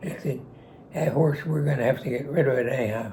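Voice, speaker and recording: A Western Pennsylvania accent with ordinary pitch variation. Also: man. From Pittsburgh, Pennsylvania. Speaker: war veteran. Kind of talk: storytelling interview. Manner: witty, charismatic.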